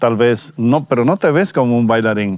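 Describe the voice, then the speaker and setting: With a Dominican accent, a man speaks at a medium pitch with ordinary pitch variation in a dry sound with no echo. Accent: non-Spanish (Dominican). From Dominican Republic. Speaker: pastor. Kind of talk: testimony. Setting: outdoors. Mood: warm, reflective, smiling. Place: forest. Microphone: lapel.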